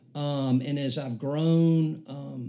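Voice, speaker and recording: In a Southern US accent, a man speaks with a dark, mellow tone and ordinary pitch variation. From US South, Alabama. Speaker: church member. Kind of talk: casual chat.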